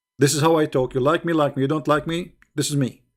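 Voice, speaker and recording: A man with an Arabic accent and a fairly high pitch. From Middle East. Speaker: online debater. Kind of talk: live stream commentary. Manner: animated.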